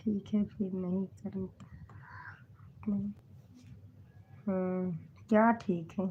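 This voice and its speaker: A woman's somewhat breathy, medium-pitched voice, very slow and monotone, with flat intonation and long, frequent pauses. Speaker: comedy video creator. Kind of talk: casual chat. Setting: livestream.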